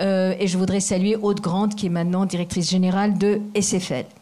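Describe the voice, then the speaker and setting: In a non-native accent, a woman speaks at medium pitch with a dark, mellow tone and a somewhat breathy quality. Audible room echo surrounds her voice. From Asia. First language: not French (speaking French). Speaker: foundation president. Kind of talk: formal speech. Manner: halting.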